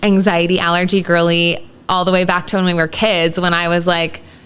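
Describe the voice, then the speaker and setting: A woman talks at a moderate pace with an American accent. Her pitch is fairly low for a woman. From Texas, El Paso. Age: 30s. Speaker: guest with food allergies. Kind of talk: casual chat.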